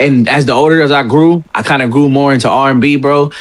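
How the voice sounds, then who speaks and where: A fairly high-pitched man talks at a fairly quick pace. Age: 20s. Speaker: podcast co-host. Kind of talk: casual debate. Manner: animated.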